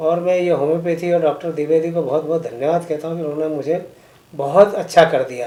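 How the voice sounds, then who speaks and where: An unremarkable speaking voice at a moderate pace, with fairly even intonation and big swings in loudness. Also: man, fairly high pitch for a man. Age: 60s. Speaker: patient giving testimonial. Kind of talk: testimony.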